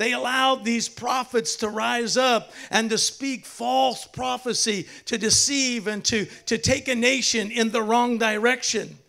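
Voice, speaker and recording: Raised and projected, a man's voice carries a bright, sharp tone with ordinary pitch variation at a fairly slow pace over a quiet background. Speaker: pastor. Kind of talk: sermon. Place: church. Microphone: handheld.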